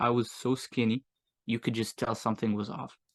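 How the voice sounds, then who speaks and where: At a moderate pace, a man talks with a bright, sharp tone and medium pitch. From Morocco and US. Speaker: agency owner, entrepreneur. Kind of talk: casual interview chat. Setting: podcast interview. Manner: hesitant, many fillers.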